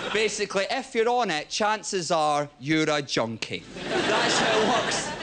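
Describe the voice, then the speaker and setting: With noticeable background noise behind him, a man with a Scottish accent speaks in very wide pitch swings. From Scotland. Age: 20s. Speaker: comedian. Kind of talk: stand-up. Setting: stage with audience. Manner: animated.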